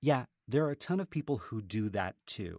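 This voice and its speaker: An ordinary speaking voice from a man, with lively intonation at a moderate pace, on a very clean recording with a silent background and a dry, close sound with no echo. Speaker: podcaster and author. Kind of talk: casual interview chat.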